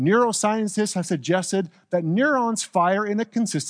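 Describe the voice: Ordinary pitch variation in plain reading aloud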